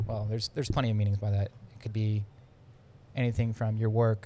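A man with an American accent speaks at a moderate pace in a fairly low pitch, with a dark, mellow tone. His voice is somewhat breathy and his intonation monotone and flat. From Pennsylvania. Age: 20s. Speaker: podcast co-host, Marine Corps reservist. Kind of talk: casual chat.

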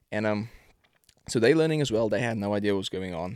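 With a South African accent, a man speaks at a fairly low pitch. The sound is dry and close with no echo, on a very clean recording with a silent background. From South Africa, Pretoria. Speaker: professional football kicker. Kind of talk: casual chat.

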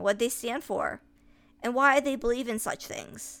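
On a very clean recording with a silent background, a woman with a high pitch speaks at a moderate pace and with fairly even intonation. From US, upstate New York. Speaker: podcaster. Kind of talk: personal essay monologue.

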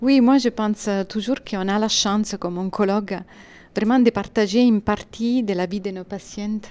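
This woman speaks at a moderate pace with fairly even intonation. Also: fairly high pitch for a woman. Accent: slight Italian. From Italy. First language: Italian (speaking French). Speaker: medical oncologist. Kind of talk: interview.

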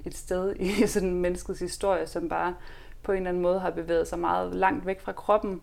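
A woman talks at a moderate pace. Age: 20s. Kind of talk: casual interview.

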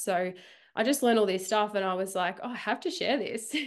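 On a very clean recording with a silent background, a woman with an Australian accent speaks at a fairly quick pace with ordinary pitch variation. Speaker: runner. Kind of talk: casual chat.

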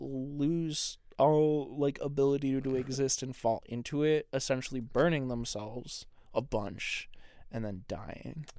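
Speaking fairly slowly, a man uses ordinary pitch variation. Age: 20s. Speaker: podcast co-host. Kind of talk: casual chat. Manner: animated.

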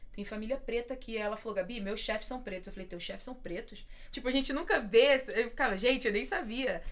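In a room with audible echo, a woman talks at a fairly quick pace in a high pitch, her loudness swinging widely. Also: ordinary pitch variation. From Belford Roxo, Rio de Janeiro, Brazil. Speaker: podcast host. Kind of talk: casual interview chat.

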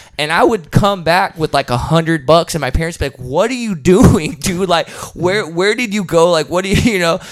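A man's high voice with an American accent at a moderate pace, ordinary pitch variation and hardly any pauses, with music in the background. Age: 30s. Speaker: heavy metal musician and combat sports coach. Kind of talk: casual interview chat.

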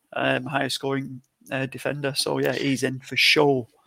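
A man talks with a Lancashire accent. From Lancashire, England. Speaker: podcast co-host. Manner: casual, chatty.

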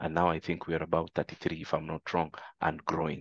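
With a very deep, low pitch and monotone, flat intonation, a man talks at a very fast pace in a dry, close sound with no echo. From Kenya. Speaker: company managing director. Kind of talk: interview. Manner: halting, many fillers and repetitions.

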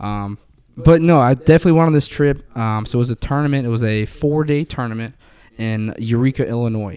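A man with an American accent, an ordinary speaking voice, medium pitch, ordinary pitch variation and a fairly quick pace. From Florida. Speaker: guest on podcast. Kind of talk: casual chat. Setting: recording in a garage.

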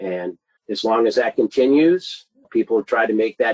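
This man has a normal speaking voice. He talks at a moderate pace with fairly even intonation. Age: 50s. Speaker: mortgage sales executive. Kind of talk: interview. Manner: casual.

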